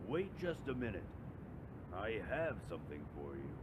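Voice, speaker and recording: Over loud background noise, a man puts on a character voice at a fairly low pitch, speaking at a moderate pace. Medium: read story. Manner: loud, almost mocking.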